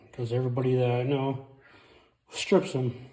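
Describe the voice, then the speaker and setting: A man's somewhat breathy voice, dark and mellow in tone, at medium pitch and a moderate pace. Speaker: car DIY mechanic. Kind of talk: casual car repair tutorial. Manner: speech affected by brain injury.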